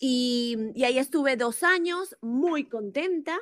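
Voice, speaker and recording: A woman speaks with lively intonation. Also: very clean recording, silent background. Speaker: media entrepreneur. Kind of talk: casual chat. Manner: halting with repetitions.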